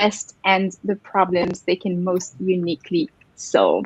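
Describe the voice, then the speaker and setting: The sound is dry and close, with no echo. A woman speaks in a French accent. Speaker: co-founder and host of a coaching webinar. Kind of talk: live webinar introduction.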